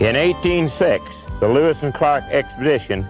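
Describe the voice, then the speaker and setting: A man talks at a medium speed, with music running in the background. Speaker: documentary narrator. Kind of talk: documentary presenter speaking on location. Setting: outdoors. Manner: folksy, casual.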